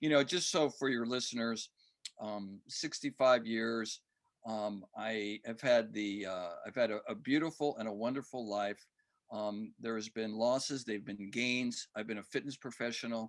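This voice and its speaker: In a plain, everyday voice, a man talks at a moderate pace. His pitch is medium and varies in an ordinary way. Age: 60s. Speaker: fitness coach and author. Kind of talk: podcast interview.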